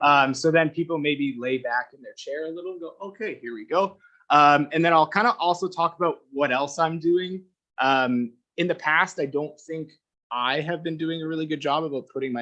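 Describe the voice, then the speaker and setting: Speaking with a Canadian accent, a man in a fairly high pitch uses a bright, sharp tone, ordinary pitch variation and big swings in loudness. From Alberta / Ontario, Canada. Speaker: fisheries biologist. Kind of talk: presentation to council. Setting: council chamber meeting. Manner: fast.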